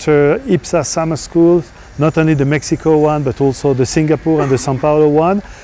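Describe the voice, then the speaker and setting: A fairly high-pitched man's voice with a French accent and a dark, mellow tone, fairly quick and fairly even in intonation, dry with no echo over light background noise. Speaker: professor; university lecturer. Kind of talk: course introduction. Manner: non-native phrasing, some hesitation. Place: garden. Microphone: lapel.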